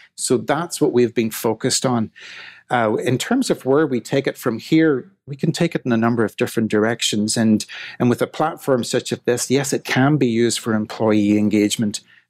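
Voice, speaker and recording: A man's medium-pitched voice with an Irish accent at a moderate pace, ordinary pitch variation, and a dry, close sound with no echo. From Ireland. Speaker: tech company CEO. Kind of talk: podcast interview.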